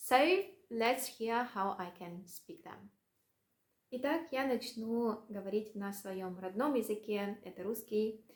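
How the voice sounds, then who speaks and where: A woman's fairly high voice moves at a very slow pace with big swings in loudness. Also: ordinary pitch variation. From Russia. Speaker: language vlogger. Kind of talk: casual vlog monologue. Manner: hesitant, many fillers.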